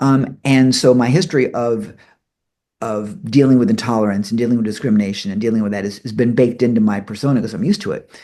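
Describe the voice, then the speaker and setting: Talking very fast, a man has a medium pitch and a dark, mellow tone. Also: ordinary pitch variation. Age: 60s. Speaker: interview host. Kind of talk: casual interview.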